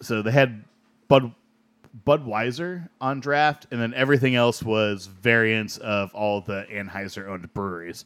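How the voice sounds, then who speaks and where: A man with an unremarkable speaking voice talks at a moderate pace, his pitch medium and ordinarily varied. The recording is very clean, with a silent background. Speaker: beer podcast co-host. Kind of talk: casual chat. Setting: studio.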